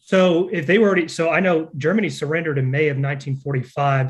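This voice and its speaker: Fairly high for a man, this man's voice is somewhat breathy. His intonation stays fairly even. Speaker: interviewer. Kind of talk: interview question. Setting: video call.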